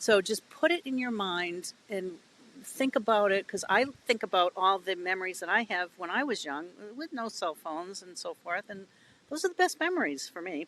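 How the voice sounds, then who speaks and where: Recorded dry and close with no echo, a woman with a New England accent speaks at a moderate pace with lively intonation and big swings in loudness. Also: medium pitch for a woman. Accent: New England American. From New England, US. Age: 60s. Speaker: children's author. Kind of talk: podcast interview.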